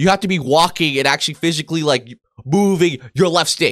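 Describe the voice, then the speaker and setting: Against a quiet background, a man with a high voice talks loudly and at a fairly quick clip, his tone animated and his intonation lively. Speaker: gaming youtuber. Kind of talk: angry rant. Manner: loud, indignant, swearing, fast and rambling; animated, exasperated. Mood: indignant, ranting. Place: home room.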